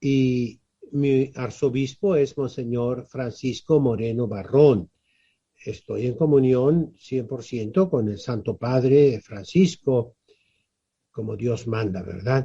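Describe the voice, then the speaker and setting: Speaking at a very slow pace, a man has a medium-pitched, dark, mellow tone. His voice is somewhat breathy, with ordinary pitch variation. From Mexico, Tijuana (Baja California). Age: 70s. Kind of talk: interview.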